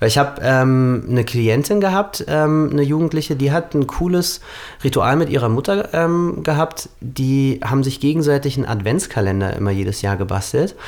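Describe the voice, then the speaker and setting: Over noticeable background noise, a man speaks at a moderate pace with lively intonation. His loudness stays very even. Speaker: podcast co-host. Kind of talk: casual chat.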